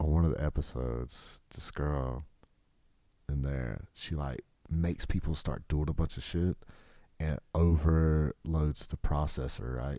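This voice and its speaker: A man with a Southern US accent, a very deep, low pitch, a dark, mellow tone, fairly even intonation and a fairly slow pace. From US South. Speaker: podcast host. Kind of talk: casual solo podcast monologue. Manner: casual, rambling with fillers.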